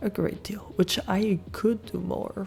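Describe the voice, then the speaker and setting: Soft-spoken and relaxed in tone, a woman talks at a very slow pace with music in the background. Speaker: ASMR content creator. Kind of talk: ASMR soft talking update to camera. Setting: Blue Yeti microphone, close-mic'd. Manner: soft-spoken, relaxed.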